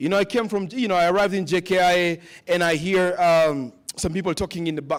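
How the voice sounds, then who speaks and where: This man's voice sits high in pitch and has an animated tone. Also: very clean recording, silent background. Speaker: summit panel speaker. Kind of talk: panel talk with a preaching tone. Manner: animated, preacher-like.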